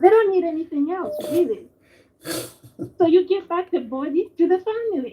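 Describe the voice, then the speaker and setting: A woman speaks with extremely high pitch yet a dark, mellow tone and lively intonation. She leaves long, frequent pauses. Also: moderate pace. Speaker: caller. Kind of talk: phone-in call on live show. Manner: quiet. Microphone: feedback from other phone.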